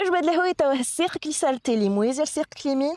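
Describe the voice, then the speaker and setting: At a fairly quick pace, a woman with a Tunisian accent speaks in a high pitch with very wide pitch swings, the sound dry and close with no echo. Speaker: yoga instructor. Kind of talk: guided yoga class instruction.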